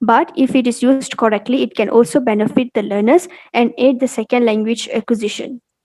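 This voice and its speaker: A woman's high-pitched voice with a dark, mellow tone, dry and close with no echo. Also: long, frequent pauses. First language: Malay. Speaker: university student. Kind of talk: class presentation.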